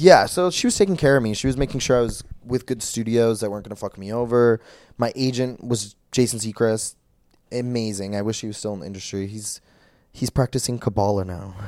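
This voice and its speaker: On a very clean recording with a silent background, a man with an American accent talks at a fairly quick pace and medium pitch, with ordinary pitch variation and big swings in loudness. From Minnesota, Brainerd. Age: 20s. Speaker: adult film performer. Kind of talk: casual chat.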